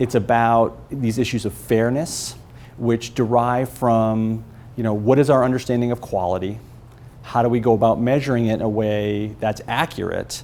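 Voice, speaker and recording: Using a medium pitch, a man delivers his words with fairly even intonation. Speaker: early childhood education researcher presenting at a conference panel. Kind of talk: conference presentation. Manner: fast; informal.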